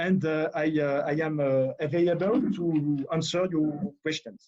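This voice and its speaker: Speaking fairly slowly with a French accent, a man uses a fairly high pitch, ordinary pitch variation and very even loudness. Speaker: engineer presenting at a webinar. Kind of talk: technical presentation. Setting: video call. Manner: halting, many fillers.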